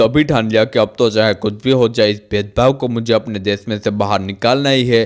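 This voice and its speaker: At a moderate pace and with hardly any pauses, a man with a plain, everyday voice speaks at a medium pitch with fairly even intonation. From India, Gujarat. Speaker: motivational speaker. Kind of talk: biographical storytelling.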